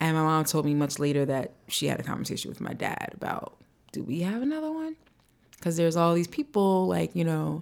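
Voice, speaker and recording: Recorded very cleanly against a silent background, the voice moves at a fairly quick pace. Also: woman. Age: 40s. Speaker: podcast co-host and author. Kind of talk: casual chat. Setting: studio.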